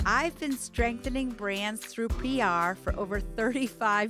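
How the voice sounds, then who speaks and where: A woman's fairly high voice at a fairly slow pace, ordinary pitch variation, and music in the background. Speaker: PR executive and podcast host. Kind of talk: podcast intro read.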